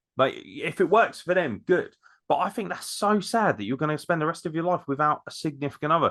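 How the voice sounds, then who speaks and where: A man with an English accent speaks at a high pitch with lively intonation and a moderate pace. The background is quiet. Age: 30s. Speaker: podcast host. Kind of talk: casual chat.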